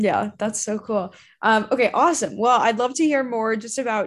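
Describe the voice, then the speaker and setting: A woman with an American accent uses an ordinary speaking voice at a moderate pace against a quiet background. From Arizona. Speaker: community host. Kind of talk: casual interview.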